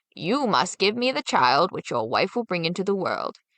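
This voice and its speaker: Very wide pitch swings mark this put-on character voice, delivered at a moderate pace in a dry, close sound with no echo. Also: woman. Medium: read story. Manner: commanding, menacing.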